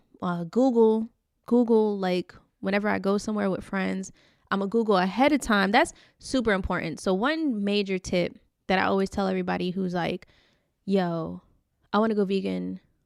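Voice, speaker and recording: A woman speaks at a moderate pace with a medium pitch, recorded very cleanly against a silent background. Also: ordinary pitch variation. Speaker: podcast host. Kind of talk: casual podcast talk.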